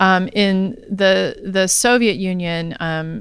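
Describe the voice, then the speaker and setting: An unremarkable speaking voice in an American accent, with fairly even intonation. The recording is very clean with a silent background. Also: woman. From US South, Alabama. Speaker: history professor. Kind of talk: interview. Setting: live event at a university center.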